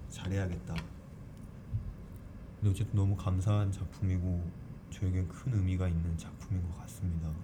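A man speaks at a fairly slow pace with a very deep, low pitch and fairly even intonation. Room echo is audible, and background noise is noticeable. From Jeju Island, South Korea. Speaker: stage actor. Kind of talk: interview. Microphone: single shared mic, recorded too quiet.

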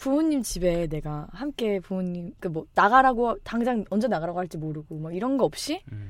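On a very clean recording with a silent background, a woman at a medium pitch speaks at a fairly quick pace with hardly any pauses, very wide pitch swings and big swings in loudness. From South Korea. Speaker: program graduate. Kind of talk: casual chat. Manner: animated.

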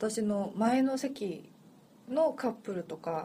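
A woman's dark, mellow tone at a very slow pace, with a Korean accent. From Seoul, South Korea. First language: Korean (speaking Japanese). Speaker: podcast co-host. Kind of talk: casual chat.

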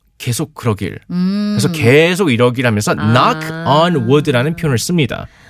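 Delivered at a moderate pace with hardly any pauses, an ordinary speaking voice carries lively intonation. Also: man, fairly high pitch for a man. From South Korea, Gyeonggi (Gwangju), emigrated to the US. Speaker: English teacher. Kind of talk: radio English lesson.

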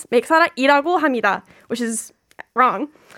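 In a very clean recording with a silent background, a woman with an American accent speaks at a high pitch. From US, Virginia. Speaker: student and video creator intern. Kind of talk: radio interview, bilingual casual chat. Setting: radio studio.

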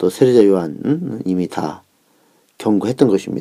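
With lively intonation, a man speaks in a fairly low-pitched voice with a dark, mellow tone. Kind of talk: lecture.

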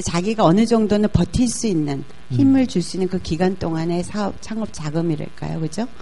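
Against noticeable background noise, a woman talks fairly quickly in a fairly low voice with ordinary pitch variation. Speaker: business executive. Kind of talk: talk show interview. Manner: soft-spoken.

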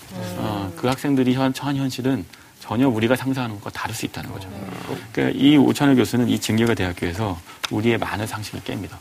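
Against noticeable background noise, a man talks very fast at a medium pitch with ordinary pitch variation. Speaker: book club panelist. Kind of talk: casual discussion.

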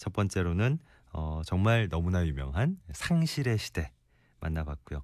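With lively intonation and a very deep, low voice, a man talks at a fairly slow pace. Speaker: radio host. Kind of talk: casual chat. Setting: studio.

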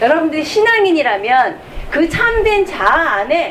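A woman talks at an extremely high pitch. Noticeable background noise and audible room echo surround her voice. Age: 50s. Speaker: nun and author. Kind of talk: lecture. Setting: stage with audience.

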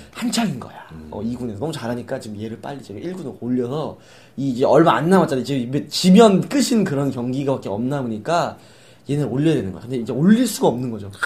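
A man speaks at a very fast pace in a medium pitch, his voice somewhat breathy. His tone is animated, with very wide pitch swings. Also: big swings in loudness. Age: 20s. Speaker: podcast host. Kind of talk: casual chat.

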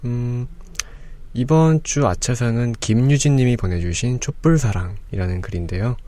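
A man speaks at a fairly slow pace with lively intonation and a medium pitch, over noticeable background noise. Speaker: podcast host. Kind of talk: casual chat. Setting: studio.

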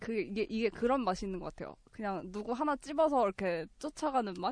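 At a moderate pace, a woman speaks. Her pitch swings very widely. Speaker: podcast panelist. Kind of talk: casual chat.

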